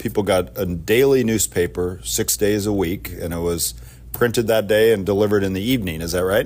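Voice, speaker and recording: This is a plain, everyday voice with lively intonation. It runs at a fairly quick pace. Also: man. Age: 50s. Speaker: podcast host, tech company CEO. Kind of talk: interview questions.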